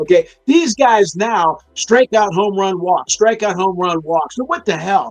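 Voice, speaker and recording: A man with an American accent talks at a fairly slow pace in a high voice with an animated tone. Music plays in the background, and the sound is dry and close, with no echo. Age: 60s. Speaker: sports talk co-host. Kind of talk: casual sports talk. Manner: animated, halting with repeated restarts.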